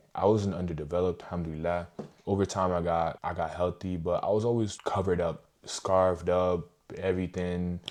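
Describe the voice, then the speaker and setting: This man has a very deep, low pitch. His tone is dark and mellow. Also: quiet background. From Montreal, Quebec, Canada. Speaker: YouTuber. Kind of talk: personal story vlog. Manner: casual.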